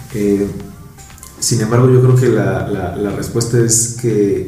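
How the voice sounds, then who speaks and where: Against noticeable background noise, a man of medium pitch speaks at a very slow pace with fairly even intonation. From Mexico, Mexico City area. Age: 20s. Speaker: engineer and construction contractor. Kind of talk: casual interview chat.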